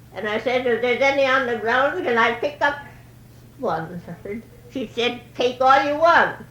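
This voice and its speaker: A woman with a high pitch at a moderate pace, with ordinary pitch variation, long, frequent pauses and noticeable background noise. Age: 80s+. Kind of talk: oral history interview answer.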